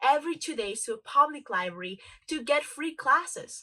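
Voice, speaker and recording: With a Spanish accent, a woman speaks in a raised, projected voice, her tone bright and sharp and her pitch swinging very widely. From Dominican Republic. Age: 20s. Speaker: motivational speaker. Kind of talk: motivational talk.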